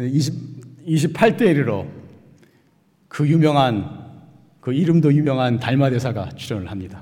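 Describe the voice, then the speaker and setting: With long, frequent pauses, a man speaks at a fairly slow pace and a medium pitch, his dark, mellow voice somewhat breathy, with lively intonation. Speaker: Buddhist monk giving dharma talk. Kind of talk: sermon. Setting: Sunday dharma service.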